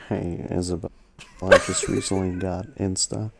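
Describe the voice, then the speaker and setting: In a put-on character voice, a man speaks soft and breathy at a moderate pace, his pitch very deep and low. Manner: soft ASMR-like.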